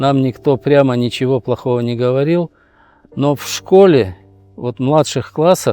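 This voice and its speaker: Music plays behind a man talking at a fairly slow pace, with long, frequent pauses. His voice is medium in pitch with ordinary variation, and the sound is dry and close with no echo. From Uzbekistan, Tashkent region. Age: 70s. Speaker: activist. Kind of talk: interview testimony.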